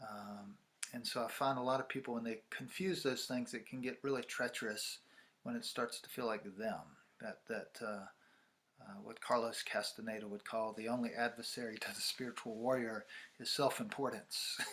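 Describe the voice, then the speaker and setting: In a bright, sharp tone, a man talks at a moderate pace with ordinary pitch variation. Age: 60s. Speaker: ceremonialist and spiritual teacher. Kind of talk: interview. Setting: video call. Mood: calm, reflective. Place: home room.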